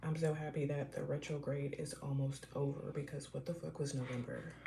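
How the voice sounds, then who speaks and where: A woman with a very deep, low pitch speaks at a fairly quick pace in monotone, flat intonation, with audible room echo and noticeable background noise. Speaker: tarot reader. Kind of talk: live tarot reading. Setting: livestream.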